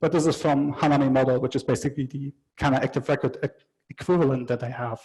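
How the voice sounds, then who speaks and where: Somewhat breathy speech goes by at a very fast pace with monotone, flat intonation. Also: man, fairly high pitch for a man. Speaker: conference speaker, software developer. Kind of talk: technical talk.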